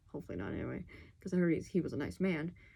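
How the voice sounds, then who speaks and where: A woman speaks quietly in a dark, mellow tone. Her pitch is fairly low, with ordinary pitch variation. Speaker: video blogger. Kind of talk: casual monologue to camera. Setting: at home at night. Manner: speaking quietly; animated.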